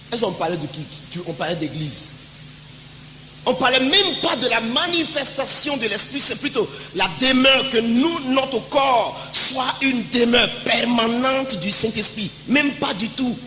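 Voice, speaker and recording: A man with an extremely high pitch speaks at a fairly slow pace in a raised, projected voice with lively intonation. Audible room echo and noticeable background noise are present. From Ivory Coast (Divo). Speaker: preacher. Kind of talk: sermon. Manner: loud; animated.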